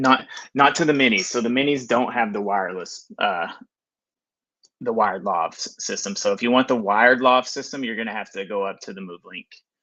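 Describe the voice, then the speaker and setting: In a Texas accent, a man speaks at a medium pitch with a bright, sharp tone and ordinary pitch variation. His loudness swings widely over a quiet background. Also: fairly quick pace. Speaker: filmmaker. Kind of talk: live stream product review. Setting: live stream. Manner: hesitant, many fillers; casual.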